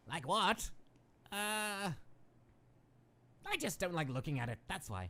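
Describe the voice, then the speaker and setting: In a cartoonish character voice at a middle pitch, the speaker moves at a fairly slow pace with long, frequent pauses. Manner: grandiose, loud.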